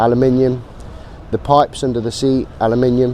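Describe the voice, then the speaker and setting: A man speaks at a moderate pace in a medium pitch, with noticeable background noise behind him. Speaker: motorcycle brand representative. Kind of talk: trade show walkaround presentation.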